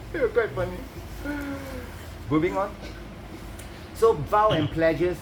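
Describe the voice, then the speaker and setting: Taking long, frequent pauses, a man speaks over noticeable background noise with audible room echo. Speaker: Buddhist teacher. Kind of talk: dharma teaching. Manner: fast.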